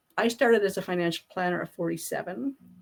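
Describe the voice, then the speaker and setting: A woman with a normal speaking voice, medium pitch, lively intonation and a fairly quick pace. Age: 60s. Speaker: business founder and author. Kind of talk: interview conversation.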